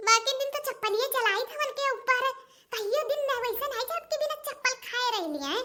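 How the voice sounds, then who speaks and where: A squeaky, cartoonish character voice, female-sounding and extremely high in pitch, at a fairly quick pace. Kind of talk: comic rustic cartoon sketch. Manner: loud, scolding.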